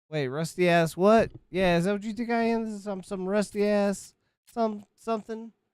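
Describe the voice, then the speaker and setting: Loud and animated, a man talks at a moderate pace in a high pitch with ordinary pitch variation. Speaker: gaming streamer. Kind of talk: live stream commentary.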